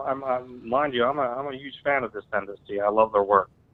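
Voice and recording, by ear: Here a man speaks with an American accent at a fairly quick pace. His voice is medium-pitched with ordinary pitch variation.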